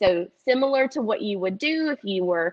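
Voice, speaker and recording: Speaking with a Southern US accent, a woman uses a fairly high pitch and ordinary pitch variation. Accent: Southern twang. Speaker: dietitian. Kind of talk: cooking demonstration. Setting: teaching kitchen, live stream. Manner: casual, many filler ums.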